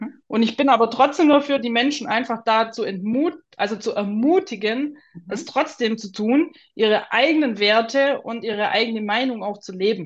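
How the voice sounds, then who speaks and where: A woman speaks in a normal speaking voice, fairly high in pitch. Her pace is moderate, with ordinary pitch variation. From Swabia, southern Germany. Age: 30s. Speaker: artist. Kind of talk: interview.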